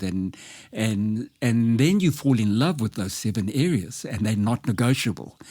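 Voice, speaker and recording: In a very clean recording with a silent background, a man speaks at a fairly slow pace and a medium pitch. His tone is dark and mellow, and his intonation is lively. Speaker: life coach. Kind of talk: podcast interview. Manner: speech disfluency, occasional hesitation.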